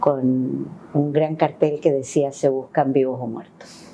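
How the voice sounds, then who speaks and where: A woman speaks at a fairly slow pace in a flat monotone. Her pitch is very deep and low. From Chile, Valparaíso. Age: 60s. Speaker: former human rights official and union leader. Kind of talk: interview testimony.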